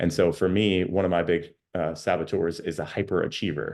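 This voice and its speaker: A man with a very deep, low pitch speaks at a fairly quick pace with fairly even intonation against a quiet background. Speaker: life coach. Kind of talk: online workshop. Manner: fast.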